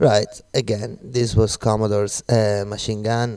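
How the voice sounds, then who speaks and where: Fairly slow, relaxed speech from a man with a fairly low pitch, a dark, mellow tone and an Italian accent. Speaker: radio DJ. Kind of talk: radio music show links. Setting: studio in Glasgow. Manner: relaxed, code-switching Italian and English.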